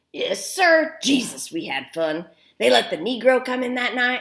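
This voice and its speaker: A woman performs a put-on character voice at a fairly high pitch. Her pitch swings very widely. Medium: read story. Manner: folksy, rambling.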